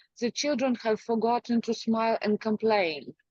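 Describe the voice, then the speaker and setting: A woman talks with a strong Ukrainian accent. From Ukraine. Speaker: poet. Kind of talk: poetry reading.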